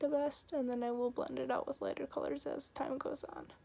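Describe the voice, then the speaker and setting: Over noticeable background noise, a woman with a high pitch speaks at a fairly quick pace in a monotone, flat intonation. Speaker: makeup tutorial creator. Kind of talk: casual tutorial talk to camera.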